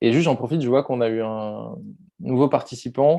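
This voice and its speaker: With a quiet background, a man speaks at a fairly quick pace in a dark, mellow tone. His medium pitch shows ordinary variation. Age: 20s. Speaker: workshop facilitator. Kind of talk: online workshop discussion.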